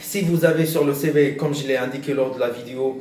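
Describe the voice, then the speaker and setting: There is noticeable background noise and audible room echo. A man speaks at a fairly high pitch. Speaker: career advice youtuber. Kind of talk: tutorial. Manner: slow; halting, many hesitations.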